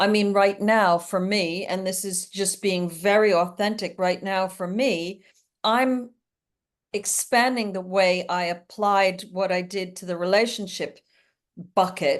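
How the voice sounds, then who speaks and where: A woman's medium-pitched, normal speaking voice, fairly slow and fairly even in intonation, against a quiet background. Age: 60s. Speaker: relationship coach. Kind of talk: interview.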